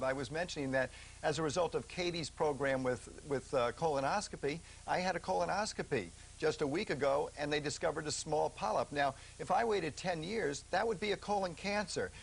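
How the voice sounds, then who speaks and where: In a plain, everyday voice, the speaker goes at a fairly quick pace with ordinary pitch variation. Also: man. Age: 50s. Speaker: physician. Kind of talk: TV interview.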